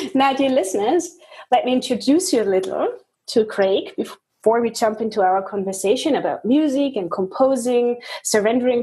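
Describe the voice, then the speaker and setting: A woman with a German accent speaks at a moderate pace in a high pitch, her tone dark and mellow and her intonation lively. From Germany. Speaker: interview host. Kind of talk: interview.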